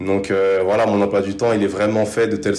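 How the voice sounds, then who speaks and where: A man speaks in a fairly low pitch with monotone, flat intonation. Audible room echo surrounds his voice. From Paris suburbs, France. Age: 20s. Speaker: sprinter and business student. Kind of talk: interview.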